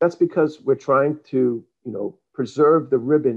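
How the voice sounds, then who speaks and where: At a moderate pace, a man speaks in a normal speaking voice pitched fairly high. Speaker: software presenter. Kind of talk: software demo presentation.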